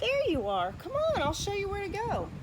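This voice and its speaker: A woman's squeaky put-on character voice, extremely high in pitch, at a moderate pace over noticeable background noise. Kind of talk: bedtime story. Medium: read story. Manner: gushing, brisk.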